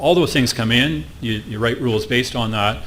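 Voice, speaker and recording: A man's fairly low voice, fairly quick and lively in intonation, with audible room echo and noticeable background noise. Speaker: conference speaker on IT security. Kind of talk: conference presentation. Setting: stage with audience. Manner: fast.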